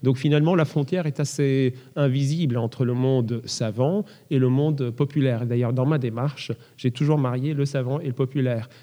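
A man's medium-pitched, dark, mellow voice with very even loudness and fairly even intonation. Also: moderate pace. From France. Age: 30s. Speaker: concert pianist. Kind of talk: interview. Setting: large echoing hall.

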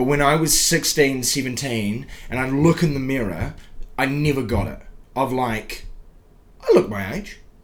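Over noticeable background noise, a man with a New Zealand accent speaks fairly slowly at a medium pitch, with ordinary pitch variation and long, frequent pauses. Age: 20s. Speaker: podcast host and comedian. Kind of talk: casual chat.

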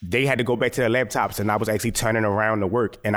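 Speaking at a very fast pace with an American accent, a man keeps a fairly low pitch and fairly even intonation. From US, Baltimore, Maryland. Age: 30s. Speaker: photographer. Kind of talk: lecture.

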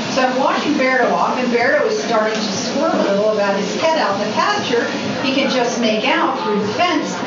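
A woman's high-pitched voice with lively intonation, fairly quick pace and very even loudness, over noticeable background noise. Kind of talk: reading aloud poetry. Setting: live reading, microphone being adjusted.

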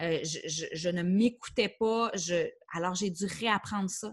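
With a plain, everyday voice at a medium pitch, this woman keeps her intonation fairly even. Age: 30s. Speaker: life coach. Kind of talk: interview.

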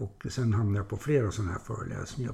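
Fairly quick and somewhat breathy, a man's voice comes through. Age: 70s. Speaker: retired business executive and mentor. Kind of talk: interview.

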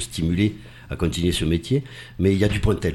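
With vocal fry, a man speaks at a moderate pace in a very deep, low pitch. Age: 50s. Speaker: actor. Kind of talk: casual chat.

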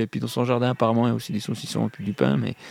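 A man speaks with a Swiss accent. The sound is dry and close, with no echo. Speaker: comic book artist and musician. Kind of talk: casual radio interview. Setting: radio studio.

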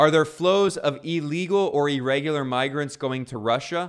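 A man with an unremarkable speaking voice and ordinary pitch variation, in a very clean recording over a silent background. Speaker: video commentator. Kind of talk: angry political rant, fast-paced critical commentary. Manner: sarcastic, accusatory.

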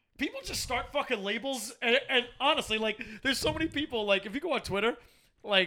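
In a raised, projected voice, the speaker races along at a very fast pace with lively intonation and a bright, sharp tone. The recording is very clean, with a silent background. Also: man. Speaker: podcast host. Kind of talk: casual banter podcast.

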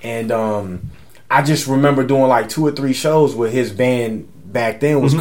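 Talking at a moderate pace, a man with an American accent speaks at medium pitch with ordinary pitch variation. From San Antonio, Texas. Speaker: musician. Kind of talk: casual interview chat.

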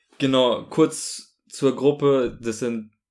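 A man talks in a flat monotone, recorded very cleanly against total silence. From Munich, Bavaria, Germany. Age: 20s. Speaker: student podcast co-host. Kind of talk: casual music review chat. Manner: halting, repeats words.

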